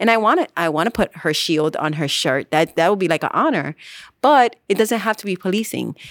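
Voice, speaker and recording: In an American accent, a woman with a plain, everyday voice speaks at a medium pitch and a fairly quick pace with lively intonation. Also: dry, close sound with no echo, very clean recording, silent background. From New York City, the Bronx. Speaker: police officer. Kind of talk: interview.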